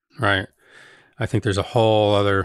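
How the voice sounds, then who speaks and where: A man with an American accent, fairly low-pitched and somewhat breathy, at a fairly quick pace in a flat monotone, on a very clean, silent recording with a dry, close sound and no echo. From New Jersey (Elizabeth). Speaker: chef and podcast host. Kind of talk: casual interview conversation. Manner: halting, frequent repetitions.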